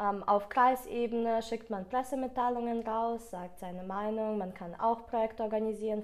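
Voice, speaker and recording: The speaker has a Russian accent. The intonation stays fairly even. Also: woman. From Ukraine. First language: Russian (speaking German). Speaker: school graduate, student politician. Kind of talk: interview.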